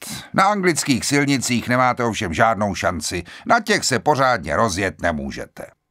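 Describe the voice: This is plain reading aloud. The text is read through plainly.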